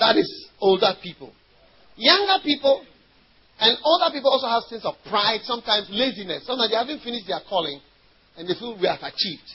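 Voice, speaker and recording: A man with a Ghanaian accent talks very fast in an animated tone, his pitch extremely high and swinging very widely. His loudness rises and falls sharply over noticeable background noise. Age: 40s. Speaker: pastor. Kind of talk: sermon.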